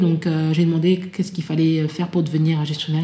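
Over noticeable background noise, a woman with a fairly low pitch talks at a very fast pace in a monotone, flat intonation. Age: 30s. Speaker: author and association founder. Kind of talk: interview testimony. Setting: at guest's home. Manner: hesitant, many fillers.

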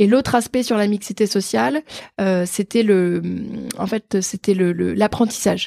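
A woman speaks at medium pitch and a moderate pace, with ordinary pitch variation. The sound is dry and close, with no echo. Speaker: fundraising manager at an engineering school. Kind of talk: casual interview. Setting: start-up office space in Paris. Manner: energetic.

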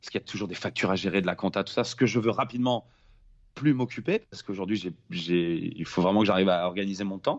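The man's voice, fairly low in pitch, races along at a very fast pace. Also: ordinary pitch variation, big swings in loudness. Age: 30s. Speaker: film director, former pro snowboarder. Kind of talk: casual interview.

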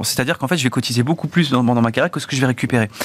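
With ordinary pitch variation and medium pitch, a man talks in an ordinary speaking voice. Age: 30s. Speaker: think tank research director. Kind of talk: debate.

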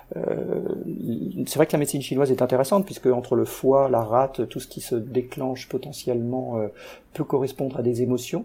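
A man's dark, mellow tone carries vocal fry and ordinary pitch variation. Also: medium pitch for a man, moderate pace. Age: 50s. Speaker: guest sharing insomnia story. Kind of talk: interview. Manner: halting.

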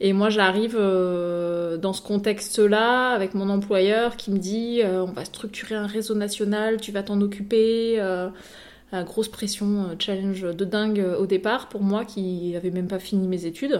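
A woman of medium pitch speaks fairly slowly in a monotone, flat intonation. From Paris region (Yvelines). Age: 30s. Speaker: consultant and trainer, entrepreneur. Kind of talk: casual interview.

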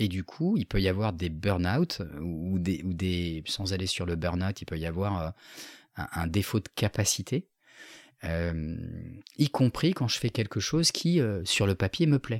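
Long, frequent pauses break up a man's very deep, low voice as he talks at a fairly slow pace in a calm tone with ordinary pitch variation. The recording is very clean with a silent background and a dry, close sound with no echo. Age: 40s. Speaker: business coach and facilitator. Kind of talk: interview.

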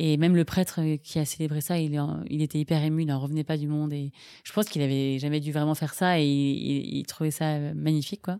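A woman speaks fairly quickly in a very deep, low voice with a dark, mellow tone. Her intonation is monotone and flat, on a very clean recording with a silent background. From France, Paris region. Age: 20s. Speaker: nurse and bereaved mother. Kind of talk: personal testimony interview. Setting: at the host's home. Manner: hesitant, many fillers.

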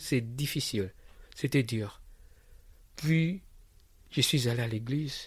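At a very slow pace with long, frequent pauses, a man speaks at medium pitch in a somewhat breathy voice with ordinary pitch variation. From DR Congo, Kinshasa. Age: 30s. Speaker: refugee and maintenance technician. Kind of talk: personal testimony. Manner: halting, repetitive.

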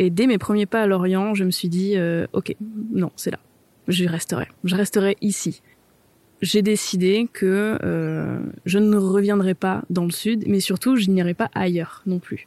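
In a dry, close sound with no echo, a woman of medium pitch speaks at a very slow pace with a dark, mellow tone and monotone, flat intonation. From southern France. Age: 20s. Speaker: photographer. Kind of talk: interview testimony.

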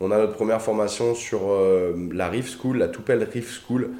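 With audible room echo, a man speaks fairly quickly in a fairly low voice of dark, mellow tone. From Paris suburbs, France. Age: 30s. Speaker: animal YouTuber. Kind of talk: casual interview chat.

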